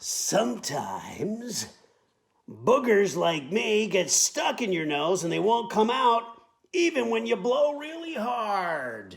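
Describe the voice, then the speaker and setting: Using a put-on character voice, a man speaks at a fairly slow pace, pitched high for a man, with very wide pitch swings. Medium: read story. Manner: playful, proud.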